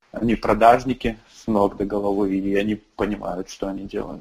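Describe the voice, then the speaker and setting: A man's fairly low, monotone voice with flat intonation and a slight Russian accent. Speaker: startup founder and CEO. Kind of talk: interview.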